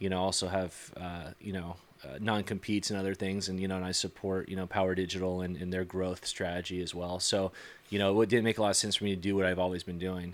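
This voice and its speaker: With a very deep, low pitch, a man speaks at a very fast pace in a monotone, flat intonation. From US West Coast, San Diego, California. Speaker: entrepreneur. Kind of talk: podcast interview. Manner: halting, many fillers.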